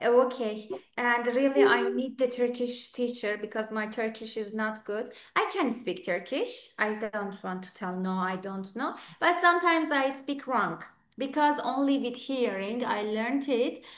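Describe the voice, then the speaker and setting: Amid audible room echo, a woman speaks at a fairly slow pace in an Iranian Azerbaijani accent, with high pitch and lively intonation. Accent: Iranian Azeri accent in English. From Iran, Tabriz. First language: Azeri. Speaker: English teacher. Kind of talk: online speaking club conversation.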